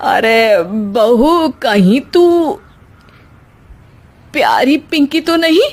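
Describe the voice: A cartoonish character voice moves at a very slow pace with lively intonation. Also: woman, high pitch for a woman.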